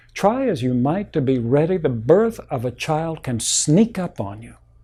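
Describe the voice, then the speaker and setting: A man with a fairly high pitch and a dark, mellow tone sounds somewhat breathy at a fairly slow pace, on a very clean recording with a silent background. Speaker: Baptist pastor. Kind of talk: sermon delivered to a congregation.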